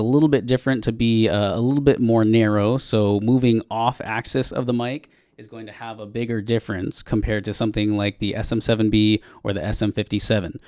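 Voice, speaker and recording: A man speaks at a fairly quick pace with fairly even intonation. The recording is very clean and the background silent. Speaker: audio gear reviewer. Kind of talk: tutorial. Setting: recording booth testing microphones. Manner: casual, many filler words.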